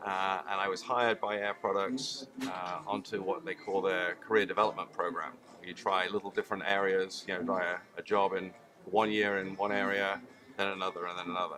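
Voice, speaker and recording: Fairly even intonation and a fairly quick pace from a male speaker. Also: fairly low pitch for a man. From UK. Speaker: chemical engineer, industrial gas technology manager. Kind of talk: trade show interview. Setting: trade show.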